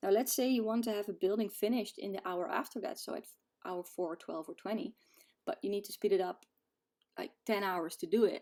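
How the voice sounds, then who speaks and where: A woman with a non-native accent speaks at a moderate pace. Her tone is dark and mellow, with lively intonation. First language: not English. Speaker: gaming video creator. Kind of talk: tutorial. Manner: casual, hesitant with fillers.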